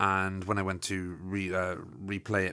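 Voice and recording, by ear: In a very clean recording with a silent background, a man speaks at a low pitch with a bright, sharp tone.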